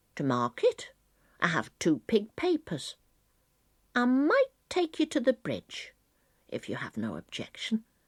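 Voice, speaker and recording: Using a put-on character voice, a woman speaks at a fairly slow pace with long, frequent pauses. The recording is very clean, with a silent background. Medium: read story. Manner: shy, hesitant.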